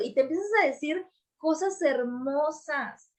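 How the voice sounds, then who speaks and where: A woman's voice with lively intonation. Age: 40s. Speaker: podcast host, business and personal development coach. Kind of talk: casual chat.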